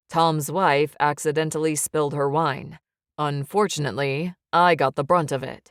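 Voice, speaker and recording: A husky, put-on character voice at a moderate pace, dry and close with no echo. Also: woman, very deep, low pitch for a woman. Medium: read story. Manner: quiet, teasing.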